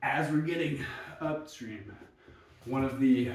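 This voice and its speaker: The voice has ordinary pitch variation, with noticeable background noise and audible room echo. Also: man. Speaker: mobility coach. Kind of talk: follow-along exercise instruction.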